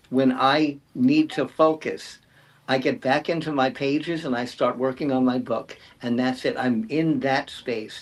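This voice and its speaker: A man speaks fairly slowly with fairly even intonation and a fairly high pitch. He has an unremarkable speaking voice. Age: 60s. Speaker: writer. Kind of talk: panel discussion.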